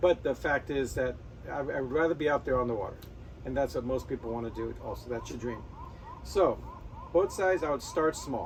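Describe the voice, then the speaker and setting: Talking at a fairly quick pace yet with long, frequent pauses, a man is heard over noticeable background noise. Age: 60s. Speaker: sailing YouTuber. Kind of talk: casual talking-head advice video. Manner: conversational, self-correcting.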